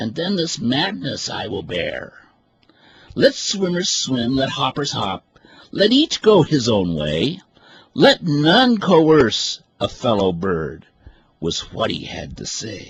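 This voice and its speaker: Using a put-on character voice, a man talks at a fairly high pitch and a fairly slow pace. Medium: read story. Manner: earnest, grave.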